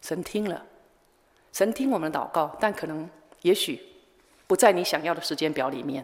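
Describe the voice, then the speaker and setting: A woman with a fairly low pitch speaks with lively intonation and long, frequent pauses. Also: moderate pace. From Taiwan, Changhua countryside. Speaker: missionary. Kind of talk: sermon.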